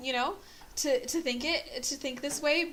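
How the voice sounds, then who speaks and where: At a fairly slow pace, a woman speaks with a high pitch and a bright, sharp tone. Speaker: podcast co-host. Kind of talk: casual chat.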